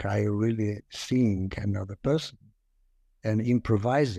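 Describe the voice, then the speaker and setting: A man with a Lithuanian accent, fairly low in pitch with a dark, mellow tone, ordinary pitch variation, very even loudness and a moderate pace, over a quiet background. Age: 60s. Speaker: actor and communication lecturer. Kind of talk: casual interview. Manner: halting, hesitant, many fillers.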